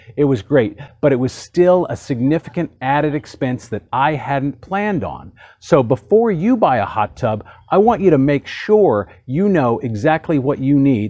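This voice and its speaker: With an American accent, this dark, mellow voice moves at a moderate pace through very wide pitch swings over a quiet background. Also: man, fairly high pitch for a man. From Texas. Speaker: hot tub video host. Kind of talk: tutorial. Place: garden. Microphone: lapel.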